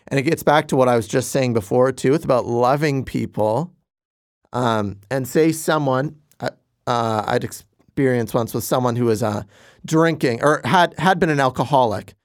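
A normal speaking voice goes at a moderate pace with ordinary pitch variation. The recording is very clean, with a silent background. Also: man, medium pitch for a man. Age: 20s. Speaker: youth pastor. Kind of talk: casual chat.

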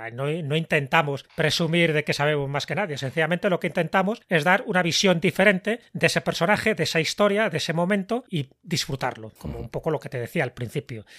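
Bright and sharp in tone, the voice moves at a fairly quick pace with lively intonation and hardly any pauses, captured with a dry, close sound and no echo. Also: man, high pitch for a man. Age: 60s. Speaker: writer and podcast host. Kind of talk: interview.

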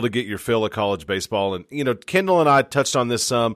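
A normal speaking voice, fairly quick with lively intonation, on a very clean recording with a silent background. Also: man. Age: 30s. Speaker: sports podcast host. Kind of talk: casual sports chat.

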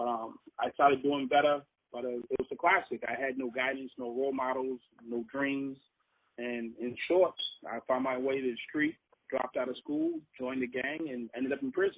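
This man has a normal speaking voice at medium pitch, with an American accent. His intonation is fairly even and his pace moderate. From Boston. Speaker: former prisoner turned speaker. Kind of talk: interview storytelling.

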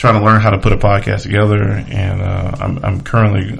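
Speaking at a moderate pace with fairly even intonation, a man with an American accent has a fairly low pitch, and the recording carries audible room echo and noticeable background noise. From Charlotte, North Carolina. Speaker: podcast host and realtor. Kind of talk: casual monologue.

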